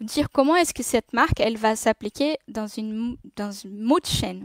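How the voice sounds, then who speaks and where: Against a quiet background, a woman with a non-native accent talks at a fairly high pitch with ordinary pitch variation, the sound dry with no echo. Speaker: designer and speaker at a tech meetup; speaker. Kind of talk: conference talk. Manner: halting, many hesitations. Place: home room. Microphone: webcam.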